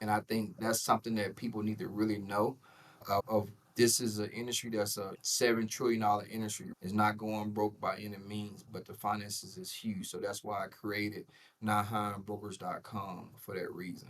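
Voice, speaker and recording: A man with a Southern US accent speaks at a moderate pace in a fairly low, monotone voice with flat intonation. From US South, Jackson, Mississippi. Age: 40s. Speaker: insurance broker, entrepreneur. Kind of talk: podcast interview. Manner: casual, repetitive fillers.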